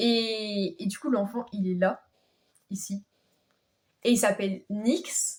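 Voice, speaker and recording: A woman speaks very slowly at a medium pitch, with long, frequent pauses. Her voice is somewhat breathy, with ordinary pitch variation. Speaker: YouTuber. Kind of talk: casual vlog. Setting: sitting in her bed. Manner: hesitant, many fillers.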